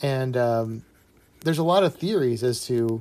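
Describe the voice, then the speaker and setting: A man talks at a medium pitch in a dark, mellow tone. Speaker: illustrator. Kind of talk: live stream chat while drawing. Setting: live stream. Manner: halting, stutters while drawing; casual, many fillers.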